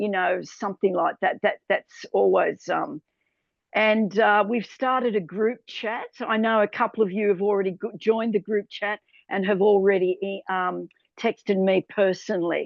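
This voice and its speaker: Speaking with fairly even intonation, a woman keeps a medium pitch and a moderate pace. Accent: Australian. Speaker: tour host. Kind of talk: webinar presentation. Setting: video call.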